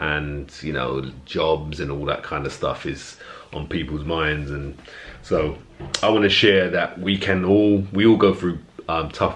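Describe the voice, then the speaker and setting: The speech moves at a fairly slow pace with light background noise. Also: man. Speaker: fitness vlogger. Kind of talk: casual vlog chat. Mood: earnest, motivational. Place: home room. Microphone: phone near.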